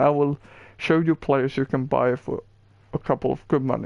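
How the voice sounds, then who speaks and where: Speaking in a Swedish accent, a man uses a fairly high pitch and fairly even intonation. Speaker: gaming streamer. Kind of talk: gameplay tutorial. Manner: halting.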